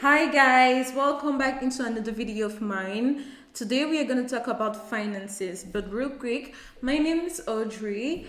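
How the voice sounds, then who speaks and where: A woman speaks at a moderate pace in a high pitch with an animated tone, and audible room echo surrounds her voice. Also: ordinary pitch variation. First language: French. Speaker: YouTuber. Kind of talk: casual vlog talk to camera. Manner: halting, searching for words.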